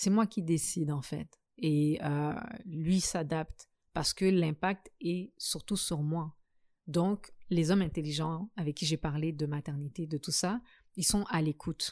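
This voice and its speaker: A woman's fairly low-pitched voice at a very slow pace, with ordinary pitch variation, in a very clean recording with a silent background and a dry, close sound with no echo. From Africa. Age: 30s. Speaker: guest on a podcast about singlehood. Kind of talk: casual interview conversation.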